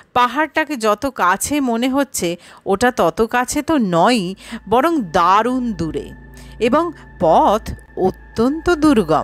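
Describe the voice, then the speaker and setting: Music plays behind a woman whose high voice moves through very wide pitch swings, captured with a dry, close sound and no echo. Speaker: audio story narrator. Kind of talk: horror story audiobook narration.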